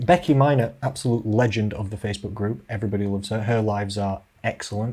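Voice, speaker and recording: A playful tone in a Yorkshire accent, at a fairly quick pace. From central England. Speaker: social media live presenter for a company group. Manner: chatty, playful.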